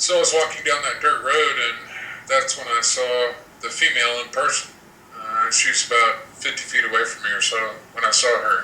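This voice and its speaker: The speech comes at a moderate pace. Audible room echo and noticeable background noise are present. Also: man. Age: 40s. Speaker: telepathic bigfoot communicator. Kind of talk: live show interview.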